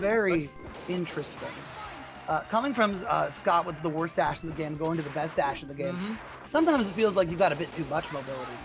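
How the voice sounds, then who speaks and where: Music in the background behind a man's high voice at a very fast pace with ordinary pitch variation. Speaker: esports match commentator. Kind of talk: live tournament commentary.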